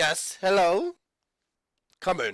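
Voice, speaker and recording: A man's high, raspy, put-on character voice with a dry, close sound and no echo. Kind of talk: polite, welcoming.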